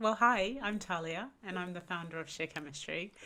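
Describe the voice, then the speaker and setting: A woman's medium-pitched voice with a bright, sharp tone and a slight Australian accent, at a moderate pace with lively intonation. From Australia, Sydney. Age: 30s. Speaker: entrepreneur. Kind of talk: podcast interview.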